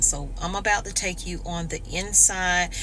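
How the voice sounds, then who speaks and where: A woman talks rather slowly while light noise sits in the background. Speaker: vlogger. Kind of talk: casual vlog chat. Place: car. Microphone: phone near.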